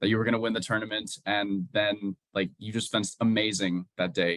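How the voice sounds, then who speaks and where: A normal speaking voice from a man, fairly low in pitch, at a moderate pace with fairly even intonation. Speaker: fencing interviewer. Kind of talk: interview questions.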